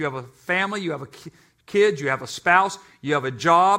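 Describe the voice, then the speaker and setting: With an animated, bright, sharp tone, a man speaks at a high pitch and fairly quick pace with ordinary pitch variation. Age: 60s. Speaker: pastor. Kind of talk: sermon. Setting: church.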